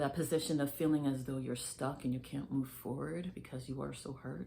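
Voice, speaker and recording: A woman speaks in a very deep, low voice with a dark, mellow tone and vocal fry. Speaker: faith vlogger. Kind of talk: casual faith talk to camera. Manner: slow; hesitant, filler words.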